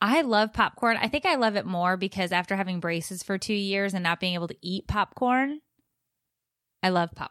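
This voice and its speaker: In a very clean recording with a silent background, a woman has a normal speaking voice at a medium pitch with ordinary pitch variation. She talks at a moderate pace, and the sound is dry and close with no echo. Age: 30s. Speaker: podcast co-host, mother. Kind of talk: casual chat.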